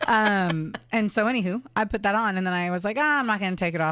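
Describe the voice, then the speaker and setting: A woman speaks at a very fast pace on a very clean recording with a silent background. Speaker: true crime podcast co-host. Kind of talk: casual storytelling chat. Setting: recording studio. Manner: louder of the two.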